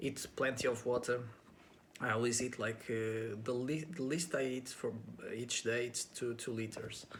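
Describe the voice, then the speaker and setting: With a Portuguese accent, a man speaks at a moderate pace and medium pitch, his intonation fairly even. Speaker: actor and pageant contestant. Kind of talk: interview answers to camera. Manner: halting, with many fillers; casual.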